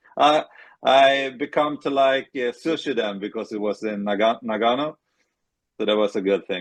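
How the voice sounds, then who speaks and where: A man with a Swedish accent speaks at a medium pitch. His pitch varies in an ordinary way. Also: moderate pace. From Sweden, Stockholm area. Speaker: retired ice hockey goalie. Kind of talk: interview. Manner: halting.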